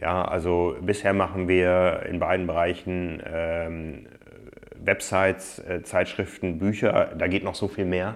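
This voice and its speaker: A monotone voice with flat intonation at a very slow pace. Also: man, very deep, low pitch for a man. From northern Germany, Osnabrück. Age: 40s. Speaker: magazine publisher and triathlete. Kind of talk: interview conversation. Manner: hesitant with many fillers.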